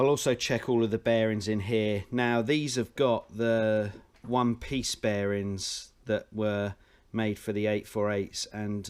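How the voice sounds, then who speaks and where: A man with a normal speaking voice talks at a fairly slow pace, his fairly low pitch held to fairly even intonation. The recording is very clean, with a silent background. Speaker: motorcycle engine mechanic. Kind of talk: tutorial.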